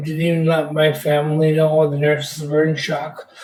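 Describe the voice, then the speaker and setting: A man with a fairly high voice talks fairly slowly while noticeable background noise carries on. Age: 60s. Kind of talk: interview testimony.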